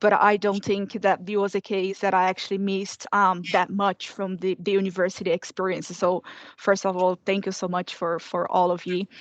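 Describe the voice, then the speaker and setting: In a Portuguese accent, the speaker talks at a moderate pace with a monotone, flat intonation, the sound dry and close with no echo. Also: woman, medium pitch for a woman. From Brazil. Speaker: former student. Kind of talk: panel testimony.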